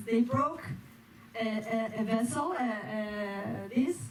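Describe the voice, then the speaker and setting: A woman with a Spanish accent talks with ordinary pitch variation, and the room echo is audible. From Spain. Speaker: performer, dancer and stand-up comedian. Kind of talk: stand-up. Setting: stage with audience. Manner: halting, with self-corrections.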